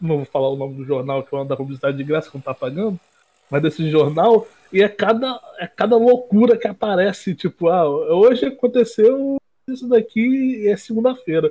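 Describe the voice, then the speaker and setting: His pitch swings very widely and sits high for a man. This man speaks at a moderate pace. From interior of Rio de Janeiro state, Brazil. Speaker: graphic designer at an agency. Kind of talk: casual chat.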